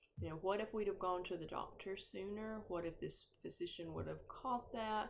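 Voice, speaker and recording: A woman's North Georgia accent, fairly even in intonation, with audible room echo. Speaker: grief support group facilitator. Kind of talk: informal talk on grief. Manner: halting, many fillers.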